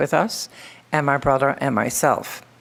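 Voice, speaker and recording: A woman's very deep, low voice with a Dutch accent. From Netherlands. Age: 80s+. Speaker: Holocaust survivor. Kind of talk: testimony.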